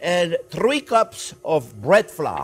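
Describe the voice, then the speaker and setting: A man speaks with a French accent. His pitch swings very widely. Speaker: chef. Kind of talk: cooking demonstration to camera. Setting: kitchen. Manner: upbeat, enthusiastic. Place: kitchen. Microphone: lapel.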